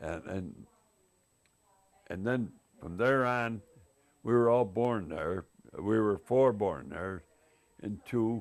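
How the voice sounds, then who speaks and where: In an American accent, a man speaks at a very slow pace. His pitch is fairly low, with ordinary pitch variation. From upstate New York, Utica area. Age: 80s+. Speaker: family elder interviewee. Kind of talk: oral history interview. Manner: halting.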